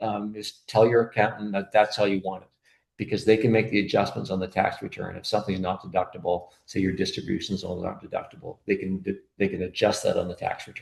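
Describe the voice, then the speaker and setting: Somewhat breathy and fairly low-pitched, a man speaks at a very fast pace with fairly even intonation. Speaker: accountant and bookkeeper presenting to optometrists. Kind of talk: webinar presentation. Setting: online webinar. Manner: halting, many fillers.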